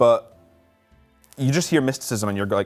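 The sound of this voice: A man's medium-pitched voice at a moderate pace, lively in intonation, over faint music in the background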